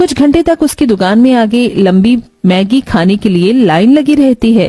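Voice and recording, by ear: A woman with a dark, mellow tone and fairly high pitch speaks at a moderate pace with lively intonation.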